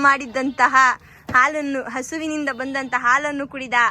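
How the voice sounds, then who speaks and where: A woman speaks at a high pitch in a raised, projected voice. Her tone is bright and sharp. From Mandya district, Karnataka. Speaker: vlogger. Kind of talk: casual vlog narration. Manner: animated.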